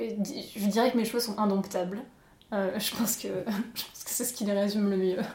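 Amid noticeable background noise, a woman speaks at a moderate pace and medium pitch, with fairly even intonation and long, frequent pauses. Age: 20s. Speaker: interview guest, artist. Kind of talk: casual interview, personal story.

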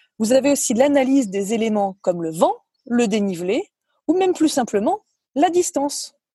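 This woman's voice is high-pitched with a dark, mellow tone. Her pitch swings very widely. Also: moderate pace, dry, close sound with no echo. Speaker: former professional golfer. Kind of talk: prepared column. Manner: talkative.

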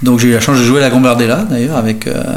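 Male voice at medium pitch, intonation fairly even, with audible room echo and noticeable background noise. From France, Nantes. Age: 60s. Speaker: football supporter, retired civil servant. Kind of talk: interview. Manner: halting, frequent repetitions.

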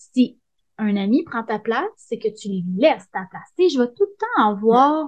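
Speaking in a Quebec accent at a fairly slow pace, a woman uses a high pitch with very wide pitch swings. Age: 30s. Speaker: hairdresser. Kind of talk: casual interview. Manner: animated.

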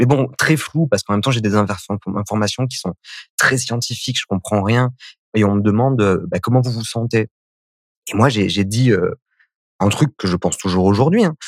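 With long, frequent pauses, a man talks at a moderate pace and medium pitch with ordinary pitch variation. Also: dry, close sound with no echo. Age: 30s. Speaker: HIV activist, association founder. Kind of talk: testimony.

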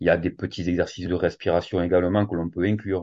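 A man speaks with a very deep, low pitch. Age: 40s. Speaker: fitness coach and yoga teacher. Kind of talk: casual interview.

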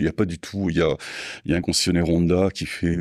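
A man's very deep, low voice at a fairly quick pace, dry and close with no echo, on a very clean recording with a silent background. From southwest France, Landes. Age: 60s. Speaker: motorcycle parts business owner. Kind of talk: casual interview. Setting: company premises.

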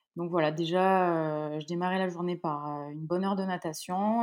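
A woman speaks in an ordinary speaking voice, fairly low in pitch, at a moderate pace with fairly even intonation. The recording is very clean, with a silent background. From France. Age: 30s. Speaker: professional triathlete. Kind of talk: interview.

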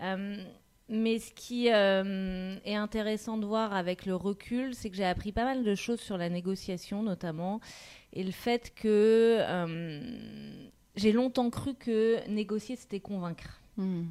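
A woman speaks very slowly in a dark, mellow tone at a medium pitch with fairly even intonation. The recording is very clean, with a silent background. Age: 40s. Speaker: marketing director. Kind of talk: interview.

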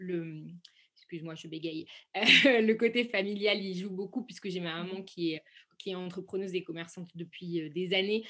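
A woman with a plain, everyday voice speaks at a fairly slow pace and medium pitch, her intonation fairly even. The recording is very clean with a silent background. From France, Saint-Étienne. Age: 20s. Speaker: entrepreneur and export product manager. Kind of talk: interview.

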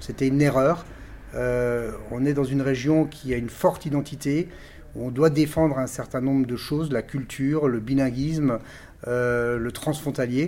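Fairly even intonation comes through at a moderate pace. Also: man, medium pitch for a man. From Alsace, France (Colmar). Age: 50s. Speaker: parliamentary candidate. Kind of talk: political interview. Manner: halting, frequent repetitions.

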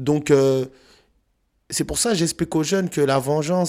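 On a very clean recording with a silent background, a man speaks with fairly even intonation. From Paris suburbs, France. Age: 30s. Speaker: youth anti-violence speaker, author, former prisoner. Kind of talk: testimony.

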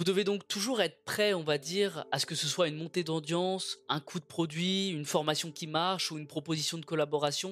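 A high-pitched man at a fairly quick pace, with fairly even intonation and hardly any pauses. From France. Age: 20s. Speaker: podcast host. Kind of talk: solo monologue. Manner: fast; projected from the belly.

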